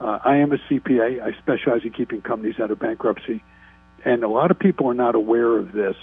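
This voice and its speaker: Over music in the background, a man talks at a very fast pace with a medium pitch and ordinary pitch variation. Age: 60s. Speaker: state politician. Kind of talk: radio interview.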